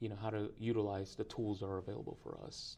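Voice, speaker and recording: Flat and monotone, this voice has a dark, mellow tone and a Spanish accent. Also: man. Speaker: preaching student. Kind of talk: interview. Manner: halting, many fillers and repetitions.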